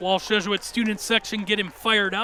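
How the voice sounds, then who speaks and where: Over music in the background, a man with a high pitch raises and projects his voice at a moderate pace. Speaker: basketball play-by-play announcer. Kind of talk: live TV sports play-by-play commentary. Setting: arena broadcast with crowd noise. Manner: conversational, analytical.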